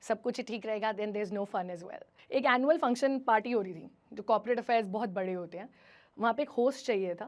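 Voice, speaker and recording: With an unremarkable speaking voice, a woman talks at a moderate pace and a fairly high pitch, her pitch varying in an ordinary way. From Himachal Pradesh, India. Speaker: radio jockey. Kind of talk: motivational stage talk.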